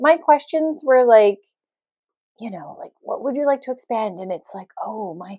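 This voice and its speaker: A woman with a Canadian accent and an animated tone at a moderate pace, with very wide pitch swings and big swings in loudness, in a dry, close sound with no echo. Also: fairly high pitch for a woman. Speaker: podcast host. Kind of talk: personal storytelling monologue. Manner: animated, conversational with many fillers.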